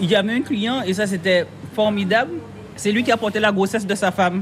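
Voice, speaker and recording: A woman talks at a moderate pace with fairly even intonation. Noticeable background noise is present. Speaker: ice cream maker. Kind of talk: casual chat.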